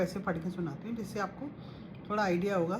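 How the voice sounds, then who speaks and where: Audible room echo fills the space. Within it, a woman talks. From Punjabi family, North India. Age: 50s. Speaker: spiritual devotee sharing guru messages. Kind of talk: devotional talk with diary reading.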